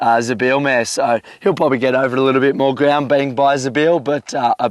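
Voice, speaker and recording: A man with an Australian accent talks at a fairly high pitch, recorded with a dry, close sound and no echo. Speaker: horse trainer. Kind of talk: casual chat. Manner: hesitant, many fillers.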